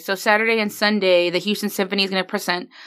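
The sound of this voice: A woman's raspy, put-on character voice at medium pitch, flat and monotone, at a very fast pace.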